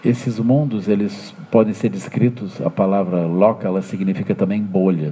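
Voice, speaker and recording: A man talks with hardly any pauses at a fairly low pitch. Noticeable background noise is present. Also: ordinary pitch variation, moderate pace. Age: 60s. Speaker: Buddhist teacher. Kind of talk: dharma talk. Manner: halting, frequent fillers.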